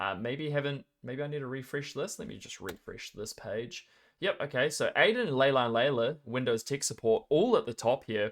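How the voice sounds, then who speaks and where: In a New Zealand accent, a man with a fairly high pitch and lively intonation talks with hardly any pauses, on a very clean recording with a silent background. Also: moderate pace. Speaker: esports tournament caster. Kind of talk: live game commentary and casual chat. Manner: casual, joking.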